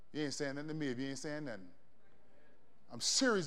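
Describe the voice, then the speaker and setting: In an American accent, a man talks in an animated tone. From Florida, US South. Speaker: preacher. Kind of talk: sermon, preacher in full flow. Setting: church with live congregation. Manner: animated, call-and-response, rallying the congregation; conversational, punchy, building to triumphant declarations.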